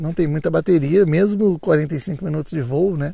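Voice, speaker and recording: A man's voice sits high in pitch with a dark, mellow tone. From Brazil, São Paulo state (Santo Antônio do Pinhal). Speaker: drone YouTuber. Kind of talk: vlog narration. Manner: animated.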